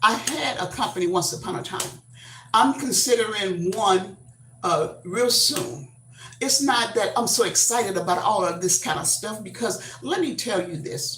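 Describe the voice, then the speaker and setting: An animated woman speaks at a moderate pace and medium pitch with very wide pitch swings, over noticeable background noise and audible room echo. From Texas. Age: 70s. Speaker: YouTube livestreamer. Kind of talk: casual livestream talk. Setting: livestream. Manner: animated, expressive; halting, many fillers.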